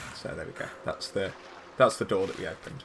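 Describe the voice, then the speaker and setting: A man's voice over noticeable background noise. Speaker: gaming commentator. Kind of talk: video game walkthrough commentary. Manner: casual, hesitant.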